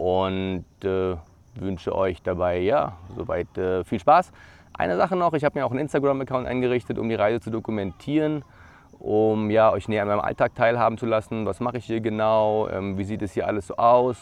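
A man talks in a normal speaking voice at a fairly low pitch and a fairly quick pace. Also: ordinary pitch variation. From Brandenburg, eastern Germany. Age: 30s. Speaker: YouTuber, former air traffic controller. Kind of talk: vlog self-introduction. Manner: casual with frequent filler words.

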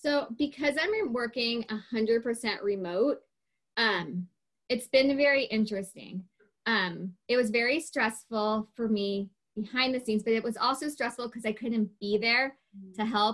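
A woman speaks in a normal speaking voice. Her pitch sits fairly high, with ordinary pitch variation. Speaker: temple communications coordinator and preschool assistant. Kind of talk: casual interview chat.

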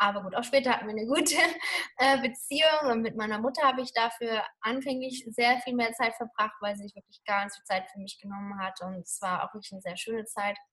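A woman's fairly high, ordinary speaking voice at a fairly quick pace with ordinary pitch variation. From Germany. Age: 30s. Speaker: Ayurveda lifestyle coach. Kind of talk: interview.

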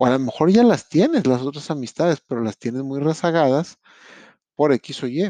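A man with a fairly high pitch and a dark, mellow tone speaks at a moderate pace. His intonation is lively, and the sound is dry and close with no echo. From Monterrey, Mexico. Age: 30s. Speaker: podcast host. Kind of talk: motivational monologue. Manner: conversational.

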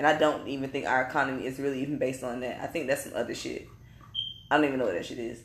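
Speaking at a very fast pace with a very deep, low pitch, a woman keeps a monotone, flat intonation amid audible room echo. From North Carolina. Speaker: podcast host. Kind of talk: casual chat. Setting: live recording in Atlanta.

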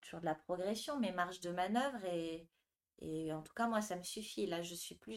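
This woman has an unremarkable speaking voice at medium pitch, with ordinary pitch variation. She talks at a moderate pace. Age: 30s. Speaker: yoga teacher. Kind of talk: interview.

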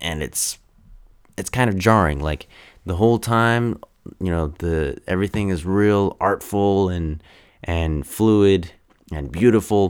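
A man's very deep, low voice with ordinary pitch variation, a fairly slow pace and long, frequent pauses. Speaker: podcast host. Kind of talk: casual movie review monologue. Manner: halting, many fillers.

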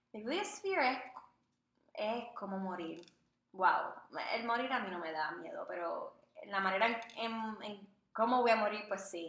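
In a room with audible echo, a woman with a fairly high pitch speaks fairly slowly, with big swings in loudness and long, frequent pauses. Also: ordinary pitch variation. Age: 20s. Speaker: podcast co-host, communications graduate. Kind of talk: casual chat.

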